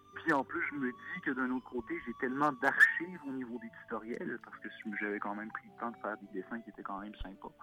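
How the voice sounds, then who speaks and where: Through noticeable background noise, a man's speech moves fairly quickly, its pitch varying in an ordinary way. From Quebec. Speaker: illustrator. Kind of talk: interview. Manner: hesitant, many fillers.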